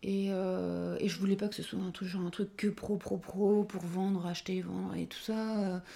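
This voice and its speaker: Her tone dark and mellow, a woman speaks in a flat monotone at a medium pitch. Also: moderate pace. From northern France, Dunkirk. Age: 30s. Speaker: shop owner and architect. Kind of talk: interview. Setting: in her shop.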